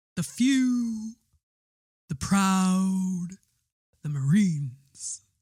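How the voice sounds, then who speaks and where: A put-on character voice takes on a dramatic tone. It moves at a very slow pace with long, frequent pauses. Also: female-sounding voice, medium pitch for a woman. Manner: dramatic, proud, drawn-out.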